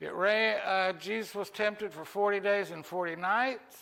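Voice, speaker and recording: A man's bright, sharp tone rides a high pitch with fairly even intonation at a fairly slow pace. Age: 70s. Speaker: church devotional speaker. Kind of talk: devotional talk with Bible quiz.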